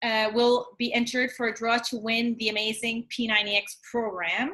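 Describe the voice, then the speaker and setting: A woman with an Acadian accent, fairly high in pitch, at a moderate pace with fairly even intonation. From Atlantic Canada, New Brunswick (Acadian French village). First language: French. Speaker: fitness coach. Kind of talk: casual live video chat.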